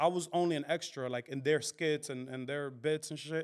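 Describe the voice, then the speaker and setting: In a very clean recording with a silent background, a man speaks with a New York accent. His pitch is fairly high, with ordinary pitch variation. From Dominican. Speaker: comedian, content creator. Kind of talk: interview answer.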